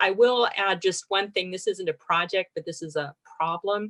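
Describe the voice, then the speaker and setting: A woman speaks at a moderate pace in an unremarkable speaking voice, her pitch medium. The sound is dry and close, with no echo. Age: 60s. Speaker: water district board director. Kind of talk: informal online Q&A discussion. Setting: zoom webinar.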